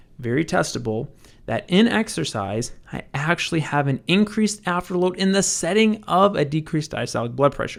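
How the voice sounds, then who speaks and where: With lively intonation and a high pitch, a man talks fairly quickly. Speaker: medical educator. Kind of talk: lecture. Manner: fast.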